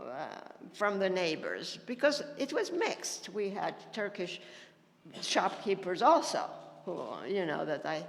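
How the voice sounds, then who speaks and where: The speech moves at a very slow pace with very wide pitch swings, heard through audible room echo and noticeable background noise. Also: woman. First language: Ladino. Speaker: panelist. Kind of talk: panel discussion.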